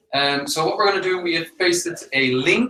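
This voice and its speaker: In a Dutch accent, a man talks at a high pitch with ordinary pitch variation. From Netherlands. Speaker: webinar host. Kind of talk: webinar interview. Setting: live online broadcast.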